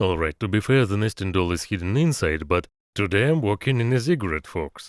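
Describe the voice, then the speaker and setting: A man with a Russian accent speaks at a fairly quick pace in a fairly low pitch, his intonation lively, on a very clean recording with a silent background and a dry, close sound free of echo. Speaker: engineer and vlogger. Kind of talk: vlog narration.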